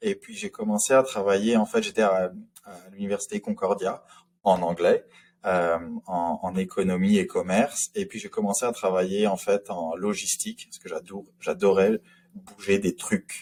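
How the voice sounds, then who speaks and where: The voice moves at a fairly slow pace with big swings in loudness, and the sound is dry and close with no echo. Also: man. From French Antilles. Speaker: real estate investor and podcaster. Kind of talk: interview.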